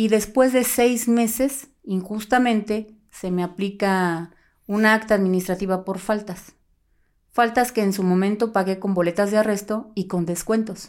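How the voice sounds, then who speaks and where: A woman with an ordinary speaking voice, medium in pitch, speaks at a fairly slow pace with fairly even intonation, on a very clean recording with a silent background. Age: 40s. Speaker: former police officer. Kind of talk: interview.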